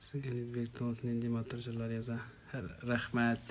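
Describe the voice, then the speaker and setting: A man with a strong Tatar accent speaks at a fairly slow pace and medium pitch. His voice is somewhat breathy, in a monotone, flat intonation. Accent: strong Tatar accent when singing in Russian. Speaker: singer answering fans in a live stream. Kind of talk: live stream Q&A reading viewer comments.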